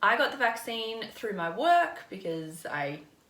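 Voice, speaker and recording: Noticeable background noise and audible room echo surround a woman speaking with an Australian accent. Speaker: vlogger and frontline worker. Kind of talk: casual vlog talk to camera.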